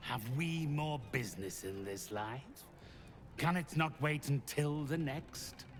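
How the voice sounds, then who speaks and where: A man puts on a character voice, pitched fairly high and delivered at a fairly slow pace. Clear background noise runs beneath him. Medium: video game. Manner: formal, dry, haughty.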